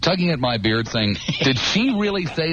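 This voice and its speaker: With lively intonation, a man talks fairly quickly through audible room echo and noticeable background noise. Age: 40s. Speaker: radio talk show host. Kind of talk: call-in talk radio. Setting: radio studio.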